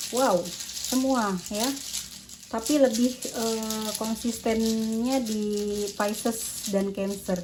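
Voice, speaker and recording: Amid noticeable background noise and audible room echo, a woman speaks at a very slow pace with a fairly high pitch and fairly even intonation. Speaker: tarot reader. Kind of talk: tarot reading. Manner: casual.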